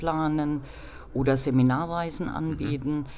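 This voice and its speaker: A woman speaks at a fairly slow pace in a very deep, low voice, with audible room echo around her. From Rhineland-Palatinate, Nahe region. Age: 40s. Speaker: civil engineer and travel agency owner. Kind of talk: interview.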